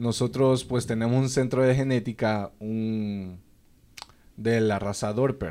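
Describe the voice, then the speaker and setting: With long, frequent pauses, the voice moves at a very slow pace in a dark, mellow tone and fairly even intonation. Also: man. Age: 20s. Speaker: sheep farming entrepreneur. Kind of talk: casual interview.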